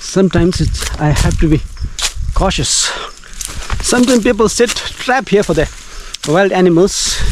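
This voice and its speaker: A man's high-pitched voice at a very even loudness, with long, frequent pauses and noticeable background noise. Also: ordinary pitch variation, moderate pace. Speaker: travel vlogger. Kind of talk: vlog narration while walking outdoors. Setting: outdoors in forest and hills. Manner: halting, self-correcting.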